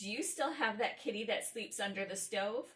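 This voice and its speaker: A woman performs a put-on character voice, shrill and fairly high-pitched. She talks at a moderate pace. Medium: read story. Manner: screeching.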